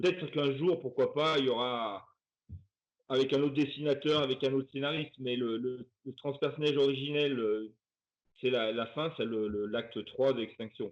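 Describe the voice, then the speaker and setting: A man talks at a moderate pace and a medium pitch, with ordinary pitch variation. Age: 60s. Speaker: comics artist. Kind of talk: interview. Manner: hesitant, many fillers and repetitions.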